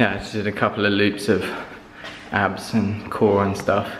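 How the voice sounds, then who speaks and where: A man speaks at a fairly low pitch with audible room echo. Music plays clearly in the background. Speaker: vlogger. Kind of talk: casual vlog chat. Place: gym. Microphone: phone near.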